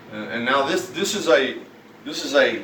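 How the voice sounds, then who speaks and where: A man with an Arkansas accent talks at a fairly slow pace, his intonation lively. Room echo is audible, and there is noticeable background noise. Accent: US Southern (Arkansas). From Arkansas, Fort Smith. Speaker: vlogger. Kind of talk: angry personal rant. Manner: halting.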